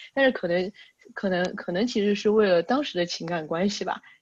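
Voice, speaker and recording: In a plain, everyday voice, the speech moves at a moderate pace with lively intonation. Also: woman. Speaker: podcast host. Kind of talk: casual chat.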